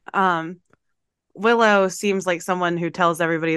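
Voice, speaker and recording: A woman is speaking. She has an American accent. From US South. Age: 30s. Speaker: podcast host. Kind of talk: casual chat. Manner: animated.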